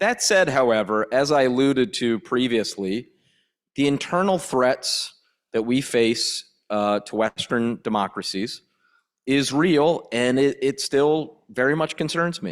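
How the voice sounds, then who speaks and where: A normal speaking voice from a man with an American accent, medium in pitch with lively intonation, on a very clean recording with a silent background. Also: fairly slow pace. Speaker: politician. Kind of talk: panel discussion.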